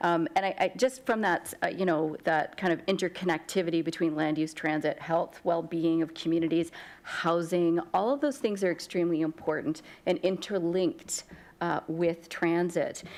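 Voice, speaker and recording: A woman's fairly low voice with very even loudness and ordinary pitch variation. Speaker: municipal councillor. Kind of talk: committee meeting questioning. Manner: fast.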